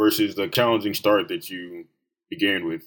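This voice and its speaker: Here is a man with an American accent in an ordinary speaking voice. He speaks at medium pitch and a moderate pace, with ordinary pitch variation. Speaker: student interviewer. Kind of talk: interview.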